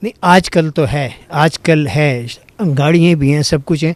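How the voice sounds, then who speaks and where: A man talks in a normal speaking voice with a fairly high pitch. The sound is dry and close with no echo. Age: 60s. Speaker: former actor and radio host turned mechanic. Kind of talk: interview.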